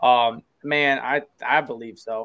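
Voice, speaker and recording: With a plain, everyday voice, a man speaks at medium pitch with fairly even intonation. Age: 20s. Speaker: podcast host guest. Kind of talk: casual chat.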